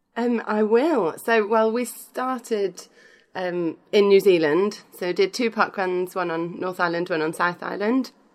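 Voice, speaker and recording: A woman with a British accent speaks fairly slowly at medium pitch, with ordinary pitch variation, in a very clean recording with a silent background. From United Kingdom. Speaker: podcaster. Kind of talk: casual chat.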